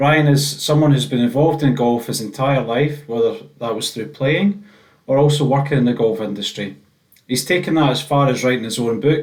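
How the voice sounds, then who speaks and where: Ordinary pitch variation and a fairly quick pace in an ordinary speaking voice. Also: man, medium pitch for a man. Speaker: podcast host. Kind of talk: podcast intro.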